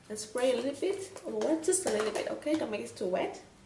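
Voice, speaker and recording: Audible room echo and noticeable background noise surround this recording. A woman speaks with high pitch and very wide pitch swings. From Vietnam. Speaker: makeup artist, beauty vlogger. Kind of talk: tutorial.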